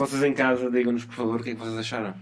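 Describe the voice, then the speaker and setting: Medium-pitched male speech set against noticeable background noise. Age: 30s. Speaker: podcast co-host. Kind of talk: casual philosophical conversation.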